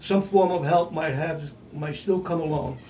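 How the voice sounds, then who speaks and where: There is noticeable background noise behind the voice. The pace is fairly slow. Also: man. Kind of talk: reading own written story aloud.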